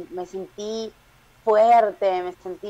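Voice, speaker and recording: A woman speaks with a fairly high pitch and a dark, mellow tone. Her pitch varies in an ordinary way. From Peru. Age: 30s. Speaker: stand-up comedian. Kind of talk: casual chat.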